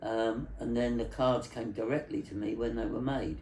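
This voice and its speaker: The speech moves at a moderate pace, with audible echo from the room. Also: man. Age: 80s+. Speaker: telecommunications engineer. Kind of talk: interview. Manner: halting.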